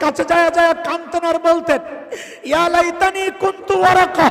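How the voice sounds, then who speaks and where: This man's voice is extremely high and flat, with monotone intonation. Noticeable background noise runs underneath. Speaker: Islamic preacher giving a waz sermon. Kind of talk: passionate Bangla religious sermon (waz). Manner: emphatic, fiery, oratorical with rhetorical questions.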